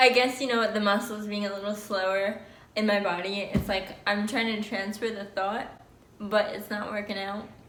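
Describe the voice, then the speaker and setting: A woman speaks at medium pitch and a moderate pace in monotone, flat intonation. Room echo is audible. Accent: American. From New Jersey, US. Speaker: vlogger. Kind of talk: casual vlog talk. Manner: slightly slurred speech with pauses.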